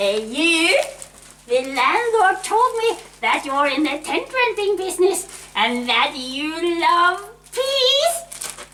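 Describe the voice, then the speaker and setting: In a put-on character voice, a woman speaks at a very slow pace and extremely high pitch, with very wide pitch swings and very even loudness. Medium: audio drama. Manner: pushy, salesy.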